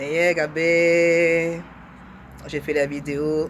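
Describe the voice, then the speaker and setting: Noticeable background noise sits behind a woman with a very deep, low pitch. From France. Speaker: testimonial speaker. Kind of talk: testimony.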